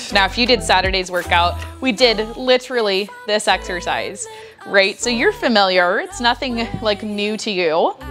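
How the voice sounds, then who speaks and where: Clear background music under a woman's moderate-paced voice. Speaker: fitness instructor. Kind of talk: workout instruction. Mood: casual, friendly. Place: home room.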